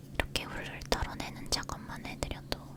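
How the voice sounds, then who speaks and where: A woman whispers at a moderate pace. There is noticeable background noise behind her. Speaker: ASMR creator doing a fictional treatment roleplay. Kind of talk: ASMR roleplay, soft-spoken treatment narration. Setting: studio recording without dubbed audio.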